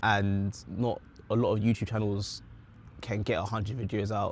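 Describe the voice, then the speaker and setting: A man speaks with a British accent. His pitch is fairly low. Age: 20s. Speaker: vlogger. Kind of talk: casual chat. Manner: passionate, animated.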